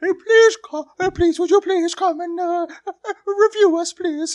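This is a put-on character voice pitched extremely high. The words come out at a very slow pace. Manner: begging, whiny.

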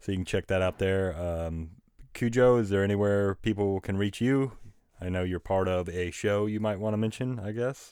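A man with an American accent speaks at a moderate pace in a fairly low pitch with fairly even intonation, on a very clean recording with a silent background. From Oklahoma, rural. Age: 40s. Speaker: podcast host. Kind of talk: casual chat. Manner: halting.

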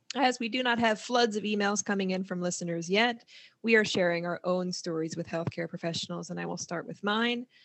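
A woman with a plain, everyday voice speaks in an American accent at a fairly quick pace. Her medium pitch shows ordinary pitch variation. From US Northeast (New Jersey). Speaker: counselor and podcast host. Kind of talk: casual chat.

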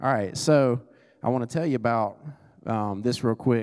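A man speaks with a dark, mellow tone. His pace is moderate and his pitch variation ordinary. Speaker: business owner preaching as guest. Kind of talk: sermon. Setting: church service with congregation.

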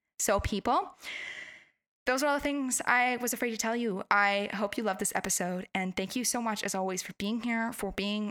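A woman speaks at a moderate pace with ordinary pitch variation. The sound is dry and close with no echo, in a very clean recording with a silent background. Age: 20s. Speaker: life coach and podcast host. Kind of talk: solo podcast monologue. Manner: animated.

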